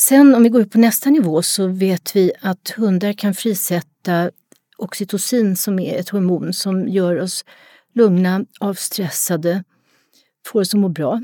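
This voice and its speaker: A woman's medium-pitched voice with a dark, mellow tone, a fairly slow pace, ordinary pitch variation, and a dry, close sound with no echo. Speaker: retired psychology professor, dog expert. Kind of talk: casual interview.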